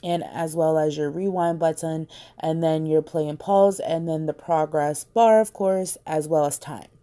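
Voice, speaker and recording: A woman's very deep, low voice with a dark, mellow tone, fairly even intonation and hardly any pauses, on a very clean recording with a silent background. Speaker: phone customization tutorial creator. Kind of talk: casual screen-recorded tutorial. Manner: casual, chatty.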